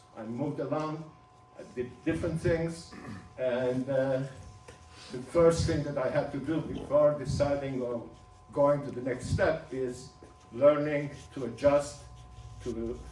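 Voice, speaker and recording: A speaker with a non-native accent talks at a fairly slow pace, with long, frequent pauses and fairly even intonation. Room echo is audible over noticeable background noise. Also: man, fairly high pitch for a man. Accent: foreign. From Turkey. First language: Ladino. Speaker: speaker sharing his life story. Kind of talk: personal talk to an audience.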